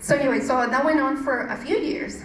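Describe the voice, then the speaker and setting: A woman talks with a strong Mexican accent. Noticeable background noise and audible room echo surround her voice. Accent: thick Mexican Spanish. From Mexico. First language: Spanish. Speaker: churchgoer giving testimony. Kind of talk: testimony. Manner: halting, with many fillers.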